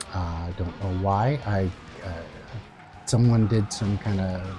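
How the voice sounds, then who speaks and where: A man's pitch varies in an ordinary way. Background noise is clearly audible. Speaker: gaming YouTuber. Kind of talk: casual vlog monologue. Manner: halting, many fillers.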